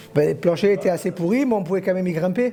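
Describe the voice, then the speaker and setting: Noticeable background noise is present. Over it, the man talks with ordinary pitch variation. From Corsica. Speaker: villager. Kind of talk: reminiscing interview.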